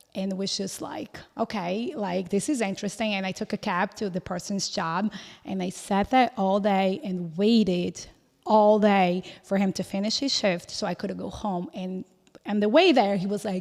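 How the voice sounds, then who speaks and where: A woman speaks with a Portuguese accent at a medium pitch. She keeps a moderate pace with ordinary pitch variation. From Brazil. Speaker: podcast host. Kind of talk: casual interview chat.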